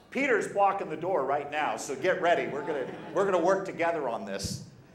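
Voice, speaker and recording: A man's animated voice at a moderate pace, with audible echo in the room. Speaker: pro-life speaker and debater. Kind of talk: talk to an audience.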